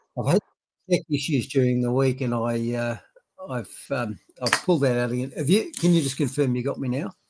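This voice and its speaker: In an Australian accent, the speaker talks at a fairly quick pace with ordinary pitch variation. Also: man, medium pitch for a man. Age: 60s. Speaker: retired doctor and commentator. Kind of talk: casual chat. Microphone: laptop microphone, not great.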